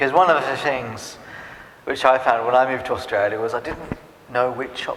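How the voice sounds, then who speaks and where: A man with an English accent talks at a fairly quick pace and medium pitch. Noticeable background noise and audible room echo fill the recording. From England (Norwich, Norfolk). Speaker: immigrant interviewee. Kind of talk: interview.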